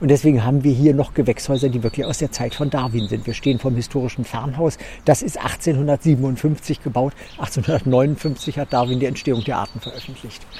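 In a normal speaking voice, a man talks at a moderate pace with medium pitch and fairly even intonation. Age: 50s. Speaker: botanist and garden curator. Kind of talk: interview while walking through a botanical garden.

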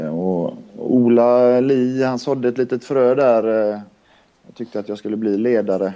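This man has an ordinary speaking voice at a medium pitch and talks at a fairly slow pace. His intonation is fairly even, but his loudness swings widely. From Linköping, Östergötland, then Kungsbacka area near Gothenburg from age nine. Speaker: handball coach, former player. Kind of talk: casual chat.

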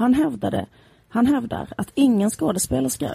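A woman's dark, mellow voice, somewhat breathy, comes across dry and close with no echo. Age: 30s. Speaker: podcast co-host. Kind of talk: casual chat.

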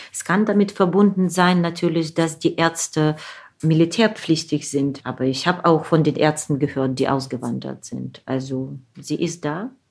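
With a very deep, low pitch, a woman talks at a moderate pace. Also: ordinary pitch variation. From Ukraine, Zaporizhzhia. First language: Russian (speaking German). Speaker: novelist and translator. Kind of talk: interview.

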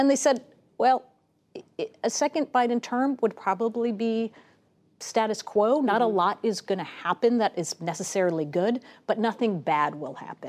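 A woman with a fairly high pitch and lively intonation, at a moderate pace with long, frequent pauses, in a very clean recording with a silent background. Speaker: political analyst. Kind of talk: news panel discussion.

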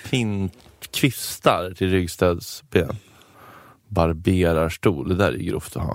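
A man with a very deep, low voice talks at a very slow pace, with ordinary pitch variation and long, frequent pauses. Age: 30s. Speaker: podcast co-host. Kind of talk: casual chat.

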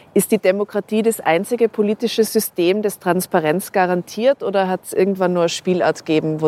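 A woman speaks at a medium pitch with ordinary pitch variation and a dark, mellow tone, hardly pausing at all. The sound is dry and close, with no echo. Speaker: podcast host. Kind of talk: interview. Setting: outdoors on a rooftop.

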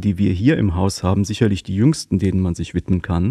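A man talks in a dark, mellow tone with ordinary pitch variation. The sound is dry and close with no echo, over a quiet background. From Rhineland, near Cologne. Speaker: art historian, provenance researcher. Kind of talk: interview. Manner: halting, many fillers.

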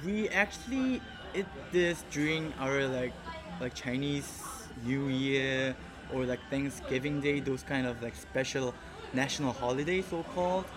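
With a Korean accent, a fairly high-pitched man speaks fairly slowly with ordinary pitch variation amid noticeable background noise. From South Korea, Seoul. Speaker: intern. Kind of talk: casual chat. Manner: halting.

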